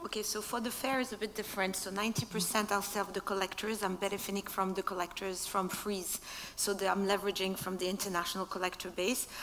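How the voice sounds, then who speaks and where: A woman's flat, monotone voice at a fairly quick pace, with hardly any pauses and light background noise. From Morocco. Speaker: art fair director; speaker. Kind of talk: panel discussion. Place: stage. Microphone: headset.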